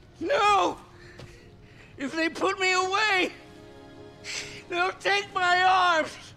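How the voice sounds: A man's put-on character voice, extremely high-pitched with vocal fry and a bright, sharp tone, fairly even intonation and a very slow pace, faint music in the background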